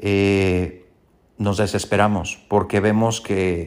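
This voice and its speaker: A man speaks at a very slow pace in a fairly low pitch, his intonation flat and monotone. The recording is very clean, with a silent background. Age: 40s. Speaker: podcast host. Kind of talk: solo podcast monologue.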